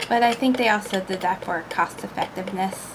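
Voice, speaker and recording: A soft-spoken voice at a moderate pace with fairly even intonation, over noticeable background noise. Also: woman. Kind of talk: soft-spoken ASMR painting ramble. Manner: rambling, casual.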